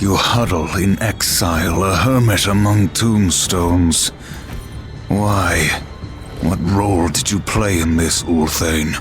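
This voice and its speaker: Over loud music in the background, a man uses a put-on character voice with very deep, low pitch. He speaks at a fairly slow pace with very even loudness. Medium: video game. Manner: terse, grave.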